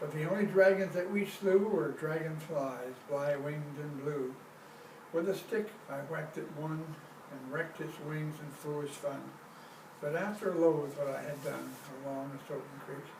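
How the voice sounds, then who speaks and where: A man with an American accent and a fairly high pitch speaks at a moderate pace with ordinary pitch variation. Noticeable background noise and audible room echo are present. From US Pacific Northwest. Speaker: poet. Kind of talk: poetry reading.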